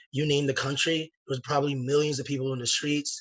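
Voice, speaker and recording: A man's voice, fairly high in pitch. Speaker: socialist organizer. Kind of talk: political speech.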